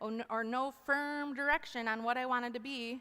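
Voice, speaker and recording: Loud and at a moderate pace, a woman talks in a high pitch with a bright, sharp tone. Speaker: chapel speaker. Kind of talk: testimony. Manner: animated.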